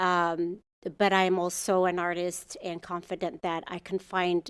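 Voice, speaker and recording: A woman's fairly low voice is captured on a very clean recording with a silent background. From Ethiopia. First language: Amharic. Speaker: muralist artist. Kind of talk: public comment at city commission meeting. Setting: council chamber. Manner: halting, with fillers and restarts.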